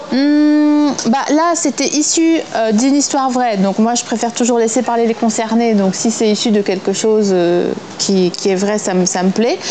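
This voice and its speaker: A woman talks at a fairly high pitch and a fairly slow pace with lively intonation, very even loudness and hardly any pauses. Noticeable background noise runs underneath. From eastern France. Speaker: actress. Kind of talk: interview. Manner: casual, hesitant with fillers.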